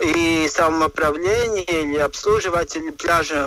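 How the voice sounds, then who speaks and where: With a Latvian accent, a man speaks at a very slow pace. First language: Latvian (speaking Russian). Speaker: environmental expert. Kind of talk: interview. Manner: halting, many fillers.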